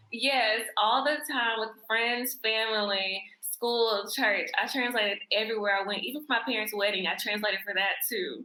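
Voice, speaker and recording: Speaking at a moderate pace with hardly any pauses, a woman talks in a fairly high pitch. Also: ordinary pitch variation. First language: American Sign Language. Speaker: sign language instructor. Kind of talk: interview.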